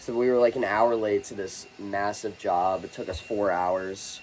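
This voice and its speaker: Noticeable background noise sits behind a man speaking. His pitch is fairly low and his intonation fairly even. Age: 20s. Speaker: young business owner and student vlogger. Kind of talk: casual vlog monologue. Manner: casual, filler-heavy.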